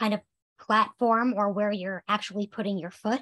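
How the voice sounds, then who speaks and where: The background is quiet as this woman talks with fairly even intonation. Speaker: occupational therapist; webinar presenter. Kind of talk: presentation. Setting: online video webinar. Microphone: video call.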